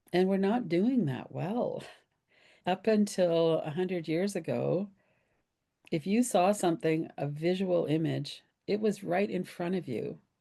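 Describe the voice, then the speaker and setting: The delivery is rather unhurried. A woman's voice comes through dark and mellow. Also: medium pitch for a woman, ordinary pitch variation, quiet background. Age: 70s. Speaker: somatic trauma healing teacher. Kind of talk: podcast interview.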